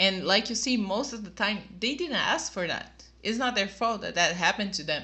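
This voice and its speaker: In a Portuguese accent, a woman talks at a moderate pace. Her pitch sits in the medium range. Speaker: YouTube reactor. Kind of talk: video review monologue. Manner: casual, slightly halting.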